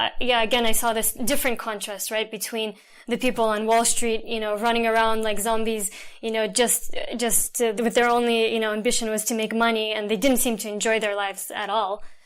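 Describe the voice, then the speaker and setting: On a very clean recording with a silent background, a woman with an American accent talks at a fairly quick pace in monotone, flat intonation. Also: fairly high pitch for a woman. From Russia (Moscow), then New Jersey from childhood. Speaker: world traveler. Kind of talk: interview. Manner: casual, many fillers.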